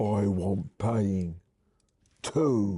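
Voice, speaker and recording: A husky, put-on character voice from a man, pitched fairly low. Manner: demanding.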